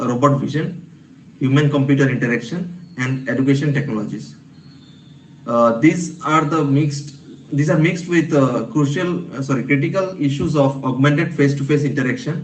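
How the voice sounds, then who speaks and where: A quiet man's voice, fairly high-pitched, at a moderate pace with ordinary pitch variation and audible room echo. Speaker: event moderator introducing speaker. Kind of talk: speaker introduction at online workshop. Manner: halting, many fillers; too quiet at first.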